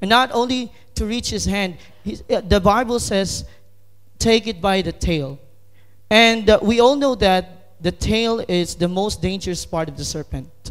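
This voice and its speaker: With a Filipino accent, a man talks fairly slowly at a high pitch, using ordinary pitch variation. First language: Tagalog. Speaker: lay preacher. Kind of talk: sermon. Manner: halting.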